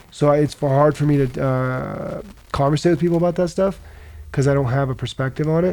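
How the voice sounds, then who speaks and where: An unremarkable speaking voice from a man with an American accent, fairly high in pitch, fairly quick, with fairly even intonation. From US Midwest, rural Nebraska. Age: 20s. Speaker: mixed martial arts fighter. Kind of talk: casual chat.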